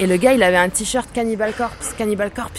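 Noticeable background noise runs behind a woman's voice. She talks at a moderate pace with a fairly high pitch. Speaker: composer and guitarist. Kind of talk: interview.

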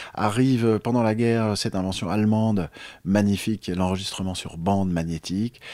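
At a moderate pace and with fairly even intonation, a plain, everyday voice talks. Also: man, fairly low pitch for a man. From France. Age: 50s. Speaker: jazz pianist and author. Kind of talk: interview.

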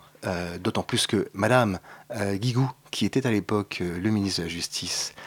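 This man's pace is moderate. His voice sounds dry and close, without any echo. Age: 50s. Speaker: LGBT parents association co-president. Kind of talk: radio panel discussion. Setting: radio studio. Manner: hesitant, many fillers.

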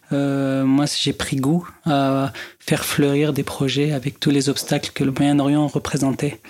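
A man with an Arabic accent speaks at a very slow pace and a fairly high pitch. His intonation is monotone and flat, and his loudness stays very even. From Lebanon, Beirut. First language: Arabic (speaking French). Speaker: music producer and musician. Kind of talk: interview.

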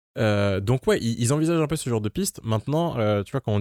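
Very fast speech from a man at medium pitch, in a dry, close sound with no echo and a very clean recording with a silent background. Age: 20s. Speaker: campus radio co-host. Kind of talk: casual chat.

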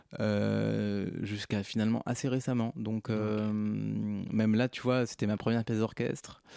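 On a very clean recording with a silent background, a man speaks with hardly any pauses. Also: fairly slow pace. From France, Hautes-Alpes. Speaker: composer. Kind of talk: radio interview. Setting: radio studio.

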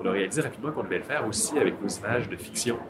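Noticeable background noise sits behind a man who speaks with lively intonation. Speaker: film director. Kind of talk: recorded interview. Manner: hesitant, with fillers.

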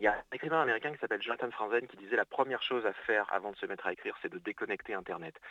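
A man at a very fast pace. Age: 30s. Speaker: novelist. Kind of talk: interview. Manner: halting.

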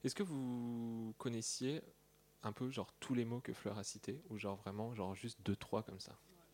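Here is an ordinary speaking voice. The pitch moves with ordinary variation. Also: man, medium pitch for a man, moderate pace. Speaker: radio host. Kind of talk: radio show hosting. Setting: radio studio with audience.

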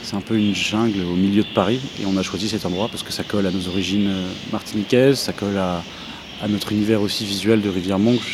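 Against noticeable background noise, a man talks very fast in a fairly low, flat monotone. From central France (Orléans), Martinican mother. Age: young. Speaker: electronic musician, label co-founder. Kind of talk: interview. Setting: greenhouse in a park. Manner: halting, many hesitations.

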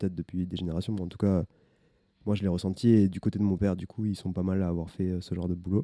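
A man talks at a fairly quick pace in a very deep, low pitch with a dark, mellow tone and monotone, flat intonation. The sound is dry and close with no echo, on a very clean recording with a silent background. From southern France, small village. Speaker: podcast co-host. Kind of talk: testimony. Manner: halting.

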